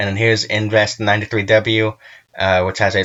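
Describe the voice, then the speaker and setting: Speaking at a very fast pace, a man keeps a fairly low pitch and a monotone, flat intonation. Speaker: weather channel host. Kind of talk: weather update. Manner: halting.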